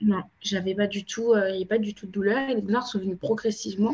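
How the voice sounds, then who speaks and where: This woman's voice is somewhat breathy and fairly high-pitched. She talks at a fairly quick pace with fairly even intonation. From France, Cape Verdean family. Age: 20s. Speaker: endometriosis patient advocate. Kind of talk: interview testimony.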